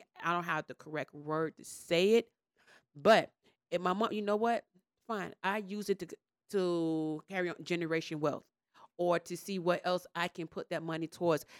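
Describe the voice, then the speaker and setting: In a dry, close sound with no echo, a woman of fairly low pitch talks at a moderate pace with fairly even intonation. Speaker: panel guest. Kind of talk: casual panel discussion.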